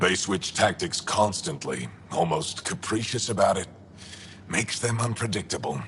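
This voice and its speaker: A man puts on a character voice with a fairly low pitch. He talks at a moderate pace over clear background noise. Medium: video game. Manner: curt, clipped, dry.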